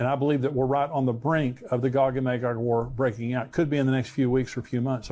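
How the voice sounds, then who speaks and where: The tone is dark and mellow, and the intonation stays monotone and flat. Delivery runs at a very fast pace with hardly any pauses. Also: man. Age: 60s. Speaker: pastor. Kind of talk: sermon.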